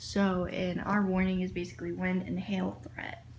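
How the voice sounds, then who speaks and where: There is audible room echo around a woman's voice. She speaks at a medium pitch and sounds somewhat breathy. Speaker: vlogger. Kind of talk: casual vlog. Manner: hushed.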